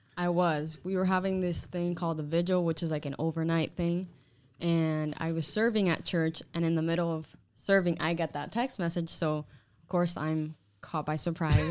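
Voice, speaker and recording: A woman has an unremarkable speaking voice with an American accent and fairly low pitch. She keeps a moderate pace and fairly even intonation. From Hialeah, Florida (Cuban-born). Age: 20s. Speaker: podcast guest, expectant mother. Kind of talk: casual chat.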